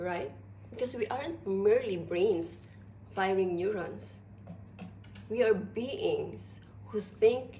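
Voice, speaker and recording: A woman speaks at a very slow pace, with long, frequent pauses. Audible echo from the room surrounds her voice. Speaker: philosophy vlogger. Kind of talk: informal lecture. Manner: deliberate.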